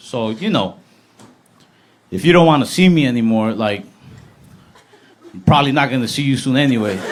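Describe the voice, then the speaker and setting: Against noticeable background noise, a man with a medium pitch speaks at a fairly quick pace with lively intonation, taking long, frequent pauses. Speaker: stand-up comedian. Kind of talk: live stand-up comedy set.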